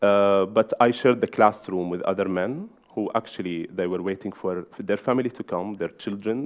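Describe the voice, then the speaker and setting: With an Arabic accent, a man speaks at a moderate pace and with ordinary pitch variation. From Syria. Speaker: journalist and magazine editor. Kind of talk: conference talk. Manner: halting.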